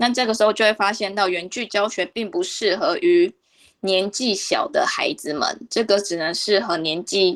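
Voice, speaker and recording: Very wide pitch swings mark a woman's fairly high voice. She talks at a moderate pace. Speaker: Chinese language teacher. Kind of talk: radio interview.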